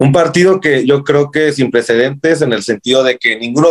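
At a moderate pace, a man speaks with a Mexican accent and ordinary pitch variation. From Mexico, Morelia. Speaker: football fan. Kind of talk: casual interview. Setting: podcast. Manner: halting, many repetitions.

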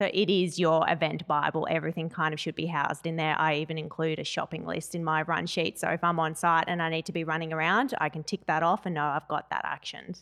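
With an Australian accent, a woman talks at a very fast pace with hardly any pauses. Her pitch is fairly low and her intonation fairly even. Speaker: event manager. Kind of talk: casual chat. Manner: loud.

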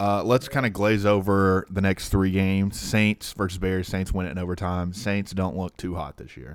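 Speech comes at a moderate pace with hardly any pauses, ordinary pitch variation and big swings in loudness. The recording is very clean, with a silent background. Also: man, very deep, low pitch for a man. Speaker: podcast host. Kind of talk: casual chat.

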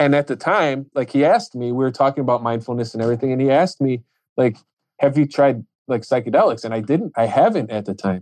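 A man with an American accent talks at a very fast pace, with medium pitch and ordinary pitch variation. The sound is dry and close with no echo, over a quiet background. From Chicago. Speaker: plumber and painter. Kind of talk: casual chat.

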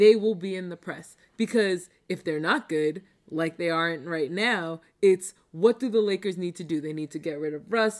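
A woman talks in an American accent, and the recording is very clean with a silent background. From Long Island, New York (Baldwin). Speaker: sports fan guest. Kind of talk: casual sports chat.

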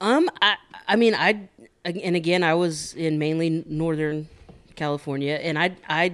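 A man with an ordinary speaking voice talks at a fairly slow pace, his pitch fairly high with ordinary variation. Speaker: regular guest, prison worker. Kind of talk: casual chat.

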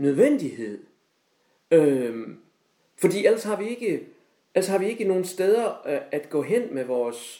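This man speaks at a fairly slow pace in a high pitch. His tone is dark and mellow, with very wide pitch swings. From Denmark, Højbjerg (Aarhus). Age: 60s. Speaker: retired high school teacher. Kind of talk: casual chat. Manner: halting.

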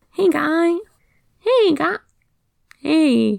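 Pitched extremely high, a woman performs in a put-on character voice. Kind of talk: casual, laid-back.

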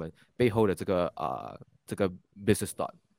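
In a very clean recording with a silent background, a man talks at a fairly quick pace with a fairly low pitch. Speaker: podcast host interviewing entrepreneurs. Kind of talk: interview. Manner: frequent fillers and hesitations.

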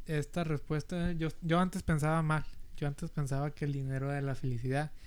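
At a moderate pace, a man with a fairly high pitch and fairly even intonation uses a normal speaking voice. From US South, Rio Grande Valley, Texas. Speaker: podcast co-host, university student. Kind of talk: casual chat.

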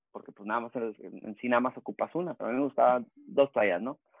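Lively intonation drives a man's very fast speech. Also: big swings in loudness. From Baja California border region (Rosarito, Tijuana) and San Diego. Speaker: youth soccer coach and former pro player. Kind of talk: casual interview. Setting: home office.

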